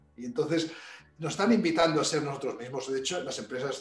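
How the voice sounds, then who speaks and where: Over noticeable background noise and audible room echo, the speaker goes at a fairly quick pace with ordinary pitch variation. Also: man. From Spain, Barcelona. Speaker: executive coach. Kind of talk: interview.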